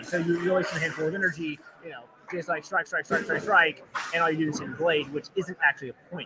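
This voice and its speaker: Noticeable background noise accompanies a man talking in an animated tone. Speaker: live event commentator. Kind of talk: live commentary. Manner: fast.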